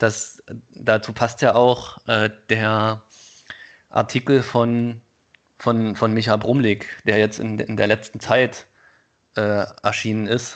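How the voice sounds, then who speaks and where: At a very slow pace with long, frequent pauses, a man speaks at a medium pitch in a monotone, flat intonation. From Thuringia, eastern Germany. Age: 30s. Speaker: podcast co-host. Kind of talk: casual conversation.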